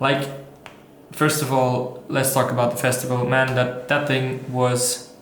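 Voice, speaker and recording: Speech at a moderate pace carries audible room echo and noticeable background noise. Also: man. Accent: Austrian. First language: German. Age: 20s. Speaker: vlogger and entrepreneur. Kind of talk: casual vlog monologue. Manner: halting, many fillers and restarts.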